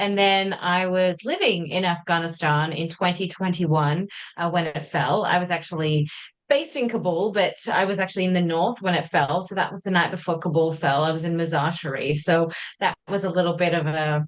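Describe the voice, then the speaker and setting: Speaking fairly quickly with fairly even intonation, a woman with an Australian accent has a fairly low pitch. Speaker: journalist. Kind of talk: interview.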